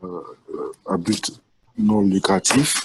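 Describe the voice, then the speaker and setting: A man's fairly low voice comes through with a dry, close sound and no echo. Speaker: NGO founder and president. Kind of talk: webinar panel talk.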